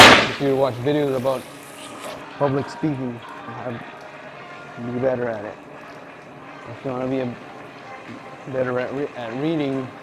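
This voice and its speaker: A man at medium pitch speaks at a moderate pace in a flat monotone, with big swings in loudness, long, frequent pauses, audible room echo and noticeable background noise. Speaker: meat department worker, vlogger. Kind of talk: casual monologue while working. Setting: workplace, cleaning equipment. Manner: swallows words, halting. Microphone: muffled audio.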